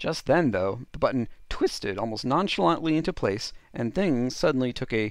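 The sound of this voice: This is an unforced reading voice. Its intonation is lively.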